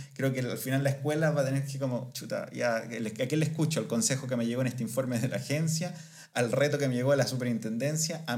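Audible room echo surrounds this man's voice. His medium pitch carries fairly even intonation at a fairly quick pace. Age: 30s. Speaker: podcast co-host. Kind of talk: casual chat.

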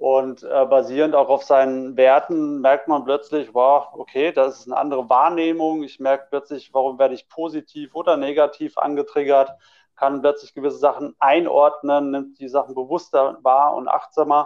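A man speaks at a moderate pace in a fairly high pitch. His intonation is monotone and flat. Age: 30s. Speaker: personal development coach and manager. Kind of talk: casual chat. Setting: remote call.

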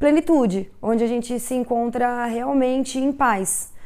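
A fairly slow pace and a dark, mellow tone, on a very clean recording with a silent background. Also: woman. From Brazil, interior of São Paulo state (Tupã). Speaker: street artist. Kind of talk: documentary interview. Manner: reflective, with hesitations.

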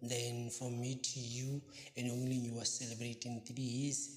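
There is audible room echo as a man with a medium pitch speaks at a fairly slow pace, sounding somewhat breathy. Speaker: podcast host. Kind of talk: casual news roundup.

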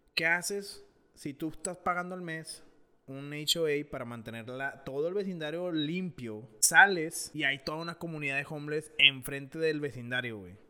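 The voice has a bright, sharp tone and big swings in loudness. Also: man, fairly high pitch for a man, ordinary pitch variation, moderate pace. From Monterrey, Mexico. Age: 20s. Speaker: podcast co-host. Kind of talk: casual chat.

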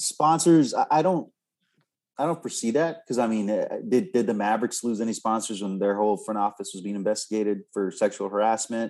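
Against a quiet background, a man with an ordinary speaking voice and medium pitch talks fairly quickly with lively intonation. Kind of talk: casual podcast discussion.

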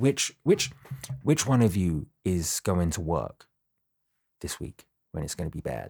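On a very clean, dry, close recording with a silent background and no echo, a man with a British accent and a very deep, low pitch talks at a fairly slow pace with ordinary pitch variation. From Britain. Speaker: podcast co-host. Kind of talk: casual chat. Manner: animated.

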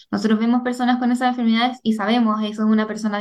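Talking at a very fast pace, a woman keeps a fairly high pitch in a monotone, flat intonation. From Chile. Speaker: migraine patient and digital journalist. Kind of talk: testimony.

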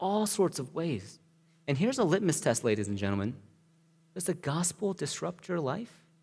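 A man speaks at a fairly high pitch with very wide pitch swings and vocal fry, on a very clean recording with a silent background. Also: moderate pace. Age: 30s. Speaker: pastor. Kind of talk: sermon. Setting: church.

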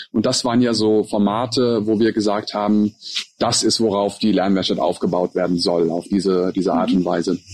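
A normal speaking voice at a moderate pace, with fairly even intonation and very even loudness. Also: man, fairly low pitch for a man. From grew up in USA, Russia and the Emirates. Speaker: podcast co-host, learning center co-founder. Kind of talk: casual conversation. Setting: outdoors in a garden.

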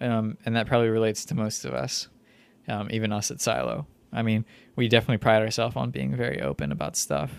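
A man's fairly low voice at a very fast pace, with very wide pitch swings. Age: 20s. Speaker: podcast co-host. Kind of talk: casual chat.

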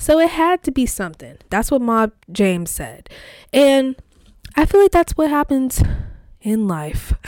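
An animated voice with very wide pitch swings, a fairly slow pace, and long, frequent pauses, on a very clean recording with a silent background and a dry, close sound with no echo. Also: woman, high pitch for a woman. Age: 20s. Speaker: solo podcaster. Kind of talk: casual monologue.

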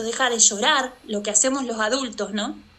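With a bright, sharp tone, a woman speaks at a high pitch and moderate pace. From Argentina, Santa Fe. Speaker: artist and mother. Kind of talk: interview conversation. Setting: remote call.

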